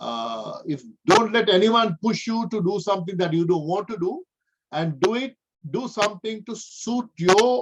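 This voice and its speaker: The speech moves at a fairly slow pace with lively intonation. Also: man. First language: not English. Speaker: professor. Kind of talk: lecture. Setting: video call.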